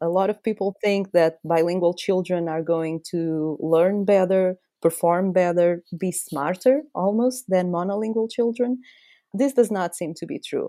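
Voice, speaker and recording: Very cleanly recorded against a silent background, a woman with a Portuguese accent talks at a fairly slow pace in a dark, mellow tone with ordinary pitch variation. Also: medium pitch for a woman. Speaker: science writer. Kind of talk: casual chat.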